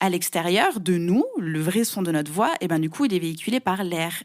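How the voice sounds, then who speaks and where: Lively intonation marks a woman speaking at a moderate pace. Her recording is very clean, with a silent background. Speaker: podcast coach. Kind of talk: interview.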